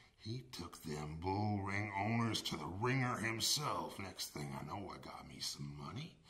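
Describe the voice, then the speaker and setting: Putting on a character voice, a man speaks at a fairly low pitch and a moderate pace. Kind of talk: scripted testimonial in a comedy ad. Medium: comedy sketch. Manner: folksy, plainspoken. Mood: grateful testimonial.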